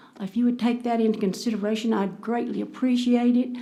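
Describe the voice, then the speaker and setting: Her voice is fairly high in pitch, with a Texan accent. The woman's intonation stays fairly even. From Texas, Denton County. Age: 70s. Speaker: citizen speaking at council meeting. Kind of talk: public comment. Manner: halting.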